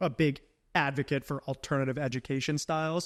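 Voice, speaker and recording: With an American accent and a normal speaking voice, a man talks at a fairly high pitch with fairly even intonation, the sound dry and close with no echo on a very clean recording with a silent background. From rural upstate New York. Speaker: entrepreneur. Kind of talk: casual chat. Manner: many fillers, um and like.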